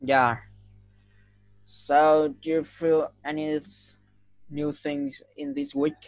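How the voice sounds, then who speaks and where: Over music in the background, the speaker talks at a very slow pace with long, frequent pauses and a Vietnamese accent. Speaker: English tutor. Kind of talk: online English lesson.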